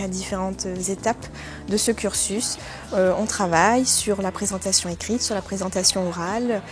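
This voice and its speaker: Against music in the background, a woman at a medium pitch speaks at a fairly slow pace in a monotone, flat way. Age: 20s. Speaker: adult learner. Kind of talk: testimony.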